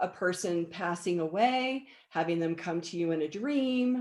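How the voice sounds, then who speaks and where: A woman's plain, everyday voice at medium pitch, with lively intonation and a fairly slow pace. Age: 60s. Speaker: energy healer. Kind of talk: interview.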